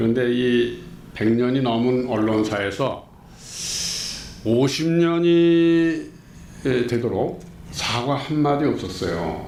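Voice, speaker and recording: Speaking at a very slow pace with long, frequent pauses, a man uses lively intonation at medium pitch. Audible room echo and noticeable background noise are present. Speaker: former journalist and activist. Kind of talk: interview. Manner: indignant, emphatic.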